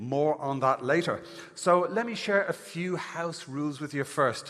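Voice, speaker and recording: At a fairly slow pace, a man with an Irish accent speaks in a fairly high voice with ordinary pitch variation. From Ireland. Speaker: event host. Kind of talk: conference hosting on stage. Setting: stage with audience. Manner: animated.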